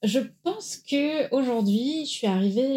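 A woman with a dark, mellow tone and a somewhat breathy quality talks fairly slowly, her intonation lively. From France, Marseille. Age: 30s. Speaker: founder of a career-change training center. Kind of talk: interview.

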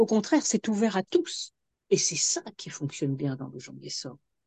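The woman speaks at a moderate pace, her voice dry and close with no echo. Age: 60s. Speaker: addiction consultant and author. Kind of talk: interview testimony.

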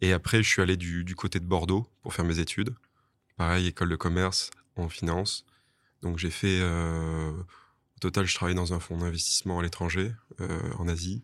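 A man with a very deep, low pitch speaks in a monotone, flat intonation at a moderate pace, in a very clean recording with a silent background. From southwest France (Toulouse area). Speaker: bar and wine shop owner. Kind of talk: interview.

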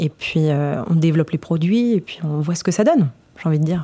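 A woman with a fairly low pitch and a dark, mellow tone speaks at a fairly quick pace with lively intonation. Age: 20s. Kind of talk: podcast testimony. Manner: hesitant, many fillers.

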